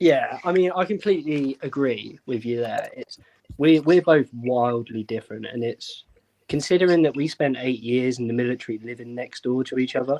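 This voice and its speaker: In a British accent, the speaker has a dark, mellow tone and ordinary pitch variation at a moderate pace, recorded with a dry, close sound and no echo. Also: man, medium pitch for a man. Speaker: airsoft event co-owner and instructor, ex-military. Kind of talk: casual podcast chat. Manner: calm, quiet.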